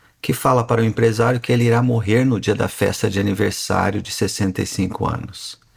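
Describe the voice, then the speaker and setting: The speaker talks at a fairly quick pace with a somewhat breathy voice. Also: man. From northern Paraná, Brazil. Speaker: physician and podcast host. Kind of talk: podcast monologue.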